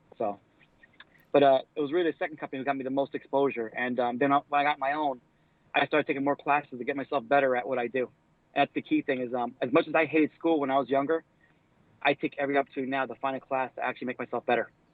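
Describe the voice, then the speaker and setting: A man's fairly high-pitched voice at a very fast pace, in a monotone, flat intonation. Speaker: plumber. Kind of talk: casual chat. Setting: live stream interview.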